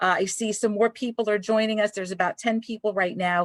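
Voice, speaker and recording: A woman's voice in a dry, close sound with no echo and ordinary pitch variation. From Brooklyn, New York. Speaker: librarian and talk host. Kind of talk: live-streamed author interview. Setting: library studio, online live stream. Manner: chatty, animated.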